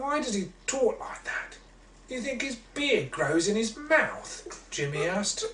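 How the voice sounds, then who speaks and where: Very wide pitch swings mark the delivery, which moves at a very slow pace. Noticeable background noise is present. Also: man. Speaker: children's author. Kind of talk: children's story reading.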